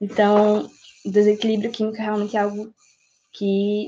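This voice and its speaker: At a moderate pace, a woman talks in a medium pitch with a dark, mellow tone. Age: 18. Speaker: pre-university student. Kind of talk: casual discussion podcast.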